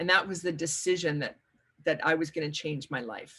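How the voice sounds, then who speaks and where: The background stays quiet. Against it, a woman talks with a somewhat breathy voice. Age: 60s. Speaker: workshop leader and life coach. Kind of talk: webinar workshop talk. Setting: video call webinar. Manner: halting, with frequent repetitions.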